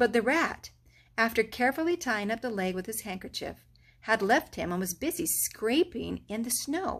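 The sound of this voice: The reading voice sounds unforced. Its intonation is lively.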